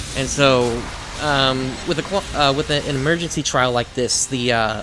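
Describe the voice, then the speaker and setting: Noticeable background noise runs under this recording. A man at medium pitch talks with ordinary pitch variation. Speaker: gaming YouTuber. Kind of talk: let's play commentary. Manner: halting, many fillers.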